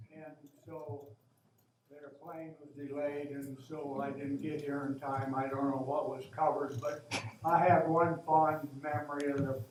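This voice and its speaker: Amid audible room echo, a man speaks fairly slowly at a fairly high pitch, his intonation monotone and flat but with big swings in loudness. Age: 90s. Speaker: audience member. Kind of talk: personal recollection. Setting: meeting with audience.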